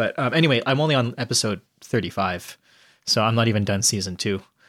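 In a very clean recording with a silent background and a dry, close sound with no echo, a man at medium pitch speaks in a plain, everyday voice. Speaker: podcast co-host. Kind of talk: casual chat.

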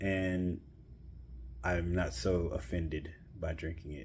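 A man's very deep, low voice, somewhat breathy, at a fairly slow pace. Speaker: beer podcast host. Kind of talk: casual solo monologue. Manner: conversational with frequent fillers.

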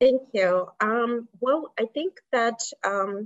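Here a woman is speaking. She goes at a very slow pace. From Kazakhstan. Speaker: health plan executive. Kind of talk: leadership talk in a virtual session. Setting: video call. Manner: halting with frequent fillers.

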